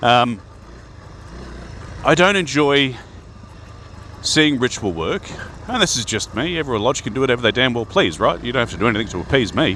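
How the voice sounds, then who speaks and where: A man speaks over noticeable background noise. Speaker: Freemason video host. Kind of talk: casual talk to camera. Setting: outdoors riding a bike.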